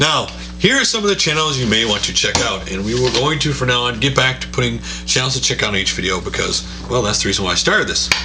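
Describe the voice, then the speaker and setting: Noticeable background noise mixes with audible room echo. Over it, a man speaks at a very fast pace. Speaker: gaming YouTuber doing channel shoutouts. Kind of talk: casual video roundup and channel recommendations.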